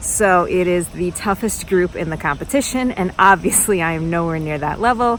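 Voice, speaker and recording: A woman with an American accent speaks at a moderate pace in a medium pitch. Her pitch varies in an ordinary way, and there is noticeable background noise. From United States. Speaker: badminton vlogger. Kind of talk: casual vlog talk to camera. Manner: animated.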